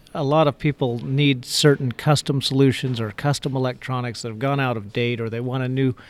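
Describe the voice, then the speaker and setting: It is a normal speaking voice with fairly even intonation at a moderate pace. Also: man. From Idaho, US. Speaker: sales engineer. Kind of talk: interview.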